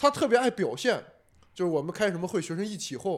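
A man with a high-pitched voice speaks in an animated tone, his pitch swinging very widely. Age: 20s. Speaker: stand-up comedian. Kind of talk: casual chat.

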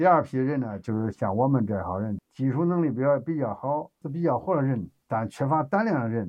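A man with a Henan accent at medium pitch, moderate in pace, with very wide pitch swings. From China, Henan. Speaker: laid-off factory worker turned driver. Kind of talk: casual chat.

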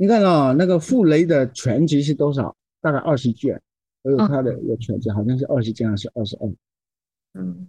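A somewhat breathy, medium-pitched man's voice with a dark, mellow tone and lively intonation, at a fairly quick pace, in a dry, close sound with no echo. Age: 60s. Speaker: poet and translator. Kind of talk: casual chat.

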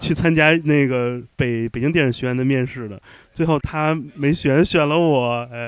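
Ordinary pitch variation and a moderate pace from a man with an ordinary speaking voice at medium pitch. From Shanghai. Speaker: podcast host. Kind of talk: casual interview chat. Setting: recording away from home, in Chengdu.

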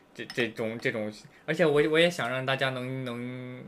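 Talking at a moderate speed, a man has a plain, everyday voice, and his pitch varies in an ordinary way. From United States. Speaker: podcast guest. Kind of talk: casual chat.

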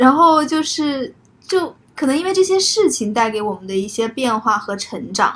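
Her high pitch swings very widely as this woman talks at a moderate pace. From Zhuhai, southern China. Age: late 20s. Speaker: podcast co-host. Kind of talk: casual chat. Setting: living room at home.

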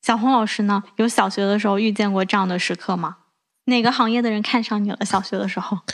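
A woman speaks at a very fast pace and a medium pitch. The background is quiet. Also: fairly even intonation. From southern China. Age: 20s. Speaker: podcast host. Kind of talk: casual chat.

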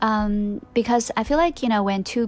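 Ordinary pitch variation in a Chinese accent. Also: woman. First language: Mandarin Chinese. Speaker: podcast host. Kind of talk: casual monologue. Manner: hesitant, many fillers.

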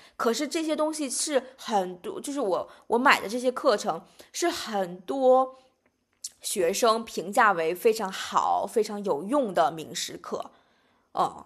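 Very slowly, a woman talks at a fairly high pitch, with very wide pitch swings and big swings in loudness. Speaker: podcast host. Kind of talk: casual chat.

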